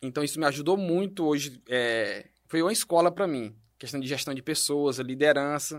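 Speaking at a fairly slow pace, a man with a fairly high pitch and ordinary pitch variation is heard on a very clean recording with a silent background. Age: 30s. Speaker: entrepreneur, company director. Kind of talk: podcast interview.

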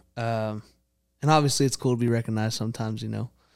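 A man talks at a fairly quick pace with a Texan accent. The recording is very clean, with a silent background. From Texas (Prosper). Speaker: country singer-songwriter. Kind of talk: casual chat.

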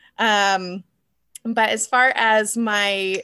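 With an American accent, a woman speaks in a bright, sharp tone at a fairly high pitch, in a very clean recording with a silent background. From southern Nevada, US. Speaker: author. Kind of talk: casual interview chat. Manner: vocal tics: sudden screams, gasps, high-pitched noises.

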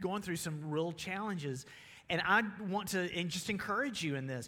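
Talking at a moderate pace with ordinary pitch variation, a man has a high voice and a Southern US accent. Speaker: pastor. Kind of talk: sermon. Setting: church.

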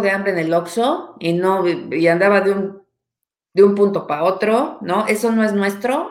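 Someone with a Mexican accent speaks at a fairly slow pace. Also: woman. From Mexico. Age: 40s. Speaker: anthropologist. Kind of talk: casual chat.

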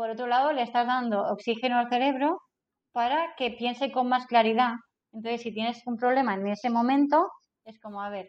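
A woman's high-pitched voice at a fairly quick pace, with fairly even intonation and big swings in loudness. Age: 40s. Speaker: business consultant and trainer. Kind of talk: casual interview.

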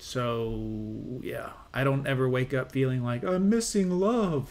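A man with an unremarkable speaking voice talks in a medium pitch with lively intonation. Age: 40s. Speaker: reaction video YouTuber. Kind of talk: reaction commentary.

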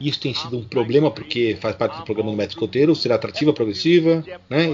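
A man talks with ordinary pitch variation. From Brazil, São Paulo city. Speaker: scout group president. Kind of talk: interview.

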